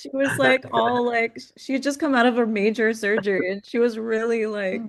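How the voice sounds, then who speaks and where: Noticeable background noise sits behind a woman's voice. She has a fairly high pitch with ordinary pitch variation. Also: moderate pace. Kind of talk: casual podcast conversation.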